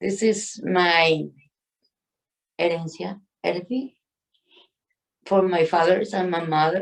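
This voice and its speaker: A woman with a Spanish accent speaks at a very slow pace in a fairly low pitch. Her pitch varies in an ordinary way, broken by long, frequent pauses. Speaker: community health worker. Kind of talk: acceptance speech. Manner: halting.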